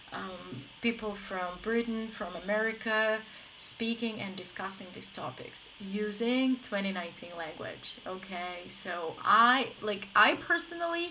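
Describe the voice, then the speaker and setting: Lively intonation runs through an ordinary speaking voice. Its pace stays moderate. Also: woman. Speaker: English teacher. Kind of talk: live stream lesson. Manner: casual, filler-heavy.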